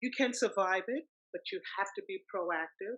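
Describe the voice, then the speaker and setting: At a moderate pace, a woman speaks with a fairly high pitch and a bright, sharp tone. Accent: American. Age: 60s. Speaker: retired loctician, cancer survivor. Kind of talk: testimony. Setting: call.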